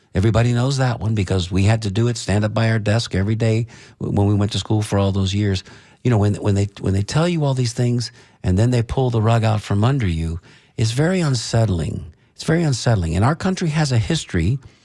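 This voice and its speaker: This man talks at a very fast pace with a medium pitch, lively intonation and very even loudness. His dark, mellow tone is somewhat breathy, and the recording is very clean with a silent background. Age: 60s. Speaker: radio talk show host. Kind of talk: casual talk radio discussion. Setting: radio studio.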